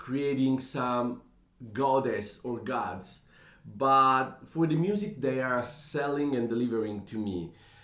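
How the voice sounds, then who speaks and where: A man with an Italian accent at a very slow pace. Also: medium pitch for a man, ordinary pitch variation. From Italy. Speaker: music reaction youtuber. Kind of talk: casual commentary to camera. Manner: halting, with hesitations.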